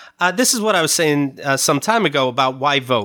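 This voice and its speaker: Bright and sharp in tone, a man's fairly high voice comes through a very clean recording with a silent background. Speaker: podcast host. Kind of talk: casual chat.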